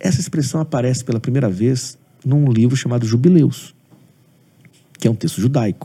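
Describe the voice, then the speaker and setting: A somewhat breathy male voice, dark and mellow in tone, broken by long, frequent pauses. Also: medium pitch for a man, ordinary pitch variation, moderate pace. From Brazil, Espírito Santo (Aracruz). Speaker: pastor and theology professor. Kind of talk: interview on theology.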